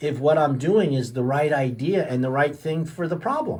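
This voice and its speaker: His pitch is fairly high and his voice somewhat breathy. The man keeps to a moderate pace. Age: 60s. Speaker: chiropractor and radio health show host. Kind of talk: radio health talk. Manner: casual, with many fillers and repetitions.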